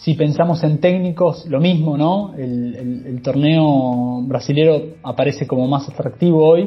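A man with a Rioplatense accent, fairly high in pitch, at a fairly slow pace with fairly even intonation and hardly any pauses, over noticeable background noise. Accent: Rioplatense Spanish (Argentine). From Argentina, La Plata. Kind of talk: casual chat.

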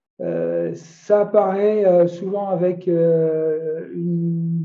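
Fairly even intonation from a man with a high voice. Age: 50s. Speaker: health coach, cancer survivor. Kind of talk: testimony. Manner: halting.

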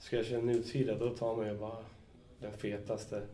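A man with a medium-pitched voice and a dark, mellow tone speaks, with audible room echo around him. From Stockholm. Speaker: graffiti writer. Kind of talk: casual chat. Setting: studio.

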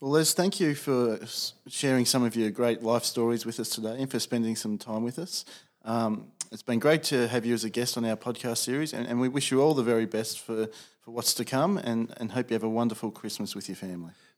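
Speaking at a fairly quick pace, a man with an Australian accent holds a medium pitch. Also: ordinary pitch variation. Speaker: podcast host, college community director. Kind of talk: interview questions, formal.

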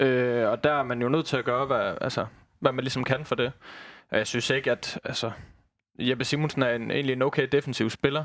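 Medium-pitched man with monotone, flat intonation at a fairly quick pace, on a very clean recording with a silent background. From Southern Jutland, Denmark (Christiansfeld near Haderslev). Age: 20s. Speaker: football fan pundit, former youth player. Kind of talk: casual football discussion. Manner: hesitant, many fillers.

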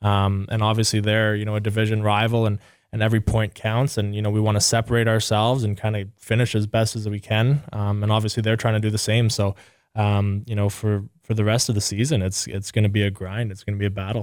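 Very fast and monotone, a man talks in a fairly low, flat voice on a very clean recording with a silent background. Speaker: hockey player. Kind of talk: casual interview. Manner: casual, relaxed, filler-heavy.

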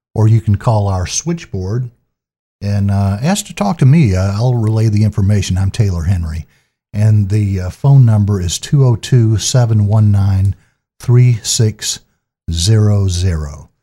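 A man speaks in a dark, mellow tone that is somewhat breathy, at a fairly low pitch with ordinary pitch variation. The recording is very clean, with a silent background. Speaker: public affairs officer, podcast host. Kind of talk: interview.

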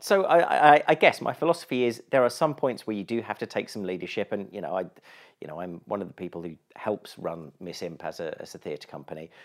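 A man with a southern English accent, very fast, with very wide pitch swings and big swings in loudness, on a very clean recording with a silent background. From southern England, East Sussex. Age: 40s. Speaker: improviser and radio producer. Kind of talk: casual interview chat.

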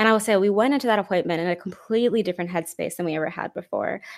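A woman with an American accent has an unremarkable speaking voice at medium pitch, recorded in a dry, close sound with no echo. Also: very clean recording, silent background. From Houston, Texas. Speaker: psychologist and author sharing miscarriage story. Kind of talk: personal testimony in interview.

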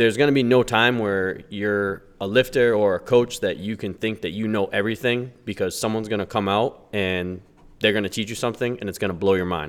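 This is an ordinary speaking voice at a fairly quick pace. Its intonation is fairly even. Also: man, fairly low pitch for a man. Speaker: powerlifter and hospital worker. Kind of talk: casual conversation.

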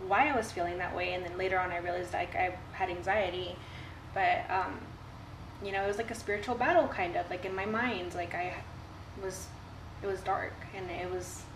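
A woman speaks at a medium pitch with fairly even intonation and long, frequent pauses. Audible room echo and noticeable background noise are present. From Texas Coastal Bend. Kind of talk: casual chat. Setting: at her home.

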